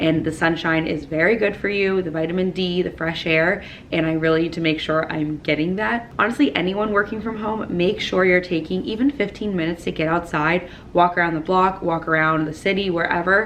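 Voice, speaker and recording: This is a plain, everyday voice, a woman's with fairly low pitch and ordinary pitch variation. She talks at a fairly quick pace with hardly any pauses. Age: 20s. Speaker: lifestyle vlogger. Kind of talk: casual vlog talk to camera. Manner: chatty, upbeat.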